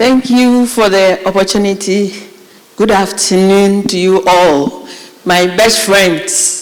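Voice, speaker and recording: A woman speaks at a very slow pace and medium pitch with fairly even intonation. Her loudness stays very even over noticeable background noise. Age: 50s. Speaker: national service official. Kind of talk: speech to students.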